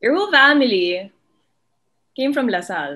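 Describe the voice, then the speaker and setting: In a Filipino accent, a woman speaks with lively intonation. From Philippines. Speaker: sports podcast host. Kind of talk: casual interview. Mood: warm, smiling. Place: home room. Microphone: video call.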